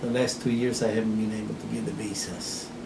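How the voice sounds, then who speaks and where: A man talks in a room with audible echo, and noticeable noise sits behind him. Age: 60s. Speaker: cherry farmer. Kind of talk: oral history interview. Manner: halting, repetitive.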